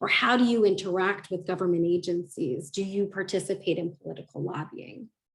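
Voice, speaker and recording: A woman with an American accent in a plain, everyday voice, medium in pitch, talking fairly quickly with hardly any pauses. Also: ordinary pitch variation. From United States. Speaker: ESG advisor, conference keynote speaker. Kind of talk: conference keynote.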